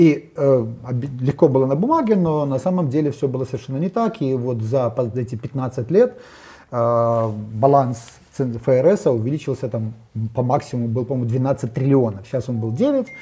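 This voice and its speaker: Somewhat breathy with a dark, mellow tone, the voice keeps a moderate pace and ordinary pitch variation, broken by long, frequent pauses. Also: man. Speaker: economist. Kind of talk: panel discussion on economics. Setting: studio. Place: studio. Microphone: lapel.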